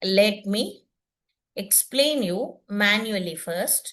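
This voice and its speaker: A woman with an Indian accent talks at a medium pitch, her tone bright and sharp. Her intonation is lively, and room echo can be heard. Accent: Indian English, Telugu. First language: Telugu. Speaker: teacher. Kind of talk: lecture. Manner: halting.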